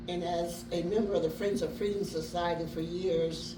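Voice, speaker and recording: Over noticeable background noise and audible room echo, a woman talks at a moderate pace in a fairly low pitch. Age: 80s+. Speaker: descendant of Underground Railroad conductors. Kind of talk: dedication speech.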